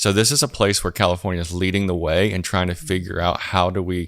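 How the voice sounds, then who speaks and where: Speaking with a Southern US accent, a man has a very deep, low pitch and fairly even intonation. The recording is very clean, with a silent background. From US South. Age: 40s. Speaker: church planting strategist. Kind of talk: podcast interview.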